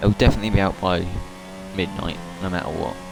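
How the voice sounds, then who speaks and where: Over music in the background, the speech moves at a very fast pace. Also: man. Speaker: gaming streamer. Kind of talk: gameplay commentary.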